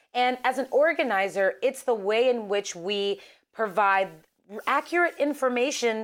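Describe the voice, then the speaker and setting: On a very clean recording with a silent background, a woman with an American accent and an unremarkable speaking voice talks at a fairly slow pace in a fairly high pitch. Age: 30s. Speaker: political organizer. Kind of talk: interview.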